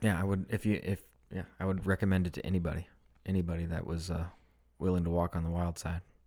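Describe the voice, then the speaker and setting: Very fast and in monotone, flat intonation, a man speaks with a very deep, low pitch. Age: 30s. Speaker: podcast co-host. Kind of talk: casual chat.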